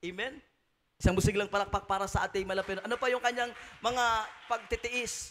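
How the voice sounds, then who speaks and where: A man talks fairly quickly in a high voice, with long, frequent pauses. There is light background noise. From Philippines. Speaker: preacher. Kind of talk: sermon. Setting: church. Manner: animated, exhortative, call-and-response with congregation. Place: church. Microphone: handheld.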